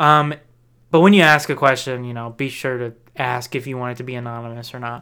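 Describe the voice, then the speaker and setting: This man has an American accent, a medium pitch and a bright, sharp tone, speaking at a fairly quick pace. His intonation is fairly even, though his loudness swings widely. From Texas. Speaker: podcast co-host. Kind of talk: casual chat.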